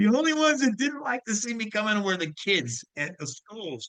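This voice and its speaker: A man's raised, projected voice with a bright, sharp tone and very wide pitch swings. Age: 70s. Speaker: podcast host and former DJ. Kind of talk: casual chat. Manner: animated.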